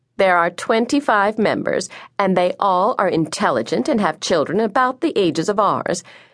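Someone reads aloud in a natural voice.

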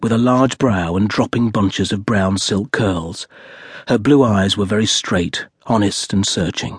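Pitch shifts with ordinary variation. The reading voice sounds natural.

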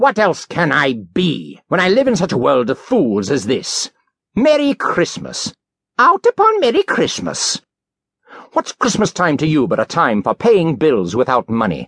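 A man's growling, put-on character voice, fairly high in pitch, at a moderate pace with very even loudness, dry and close with no echo. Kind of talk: classic audiobook character voice. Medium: read story. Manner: indignant, scornful, growling.

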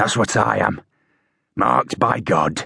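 Using a put-on character voice, a man talks at a fairly slow pace in a raspy tone, the sound dry and close with no echo.

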